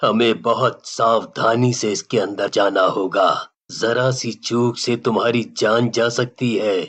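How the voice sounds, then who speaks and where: A man's cartoonish character voice at medium pitch, fairly slow with hardly any pauses. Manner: sorrowful, grave.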